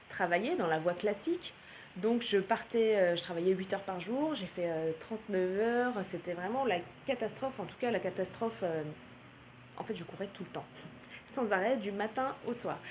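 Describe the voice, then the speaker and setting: A woman at a medium pitch with ordinary pitch variation, a moderate pace and long, frequent pauses, amid noticeable background noise. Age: 30s. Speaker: blogger and naturopath. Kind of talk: vlog monologue. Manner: hesitant, many filler sounds.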